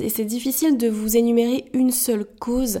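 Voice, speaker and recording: A woman talks at a fairly slow pace in a dark, mellow tone, her intonation staying fairly even. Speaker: podcast host, entrepreneur. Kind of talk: solo podcast monologue. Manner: hesitant, many fillers.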